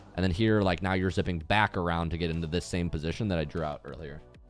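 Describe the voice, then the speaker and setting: Over music in the background, a man speaks with an American accent. His pitch is very deep and low, and his pace is very fast. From United States. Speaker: video game coach. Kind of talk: live coaching session with replay review. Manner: casual, conversational.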